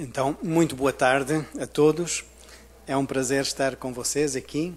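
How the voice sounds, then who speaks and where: A man talks at a fairly slow pace. His pitch is fairly high, and his intonation is fairly even. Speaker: university researcher. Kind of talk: conference presentation.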